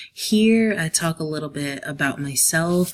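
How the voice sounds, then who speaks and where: The speaker has an American accent and keeps a moderate pace. Background noise is noticeable. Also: woman. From New Jersey / New York City area. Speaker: teacher. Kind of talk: class presentation. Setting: quiet room at home.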